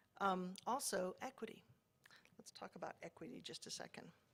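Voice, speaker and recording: A woman's medium-pitched voice with vocal fry. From Mississippi. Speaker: professor. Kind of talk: lecture. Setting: stage with audience. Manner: animated.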